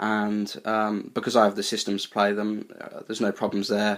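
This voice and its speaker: This man talks at a fairly quick pace in a fairly low voice with a British accent. The recording is very clean, with a silent background. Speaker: retro game collector YouTuber. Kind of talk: casual video tour. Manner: hesitant, many fillers.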